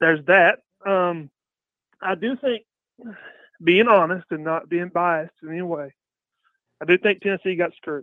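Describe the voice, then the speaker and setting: This man talks at a high pitch, leaving long, frequent pauses. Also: ordinary pitch variation. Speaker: caller. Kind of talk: sports call-in radio chat. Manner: fast; hesitant with fillers.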